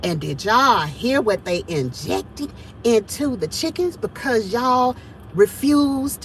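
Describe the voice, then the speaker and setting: Loud and high-pitched, a woman speaks with very wide pitch swings over noticeable background noise. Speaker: homesteading vlogger. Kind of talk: casual vlog monologue. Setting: in a truck. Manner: animated.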